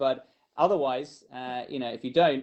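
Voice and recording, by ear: A man talks at a moderate pace with a medium pitch and ordinary pitch variation.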